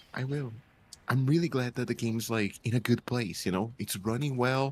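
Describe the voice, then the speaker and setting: A man with a somewhat breathy, medium-pitched voice talks at a moderate pace, his pitch varying ordinarily. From Brazil. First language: Portuguese. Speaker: translator, new player. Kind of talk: casual chat. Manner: halting, hesitant.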